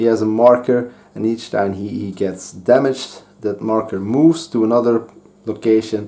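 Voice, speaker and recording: Here a man speaks with a Dutch accent at a moderate pace. His voice sits at medium pitch with a dark, mellow tone. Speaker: board game youtuber. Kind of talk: game playthrough commentary. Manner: halting, with fillers and restarts.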